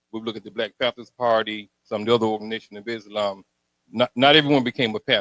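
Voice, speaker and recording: Very fast speech in an American accent, monotone and flat, with a dry, close sound and no echo. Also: man. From Alabama, US South. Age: 60s. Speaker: audience member asking a question. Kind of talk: question at a community panel.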